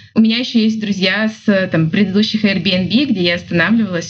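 Music can be heard in the background. A woman talks over it fairly quickly. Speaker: business development manager and photographer. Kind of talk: interview.

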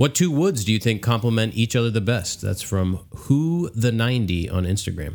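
A man with an American accent has an ordinary speaking voice at a medium pitch, with hardly any pauses. The recording is very clean, with a silent background. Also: lively intonation, moderate pace. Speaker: podcast host, woodworker.

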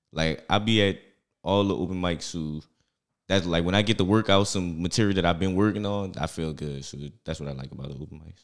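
A fairly quick man's voice in a New Orleans accent, very deep and low, with ordinary pitch variation. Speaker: stand-up comedian.

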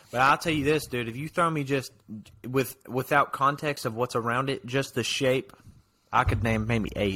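A man talks at a moderate pace with a bright, sharp tone. His pitch sits in the medium range, with ordinary pitch variation. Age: 19. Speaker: podcast co-host. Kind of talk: casual chat.

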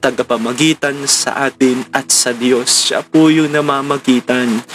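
With music in the background, a man speaks fairly slowly in a fairly high voice with fairly even intonation. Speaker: preacher leading a morning devotion. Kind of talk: devotional sermon. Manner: halting, frequent stammering and repeats.

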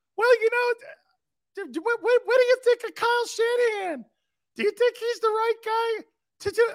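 In a put-on character voice with a San Francisco accent, the speaker talks at a fairly slow pace and an extremely high pitch. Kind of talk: sports talk.

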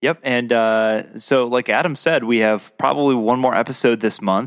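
A man with an ordinary speaking voice talks at a medium pitch. His pace is fairly slow, with ordinary pitch variation. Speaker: podcast co-host. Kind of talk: casual chat.

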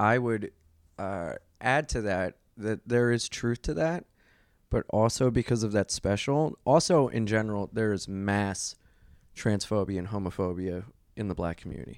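On a very clean recording with a silent background, a man with an unremarkable speaking voice speaks at a fairly low pitch. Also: ordinary pitch variation, moderate pace. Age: 30s. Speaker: comedian and radio host. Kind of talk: casual chat.

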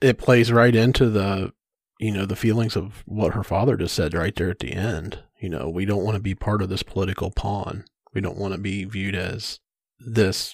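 A plain, everyday voice from a man, fairly low with ordinary pitch variation, comes at a moderate pace on a very clean, dry, close recording with no echo and a silent background. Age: 40s. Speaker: podcast co-host, IT worker. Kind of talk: casual chat.

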